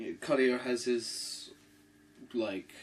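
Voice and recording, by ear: There is audible room echo around the voice. A man speaks with a fairly bright tone.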